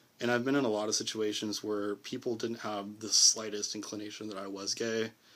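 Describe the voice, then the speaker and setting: The man has a fairly low pitch and talks at a fairly quick pace. The recording is very clean with a silent background. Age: 20s. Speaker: vlogger. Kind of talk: personal vlog monologue. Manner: casual, halting.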